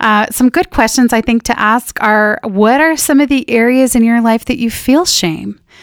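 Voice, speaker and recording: On a very clean recording with a silent background and a dry, close sound with no echo, a woman with an unremarkable speaking voice talks at a fairly slow pace. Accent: General American. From Northern California. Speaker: pastor's wife and operations manager. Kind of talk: casual chat. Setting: studio.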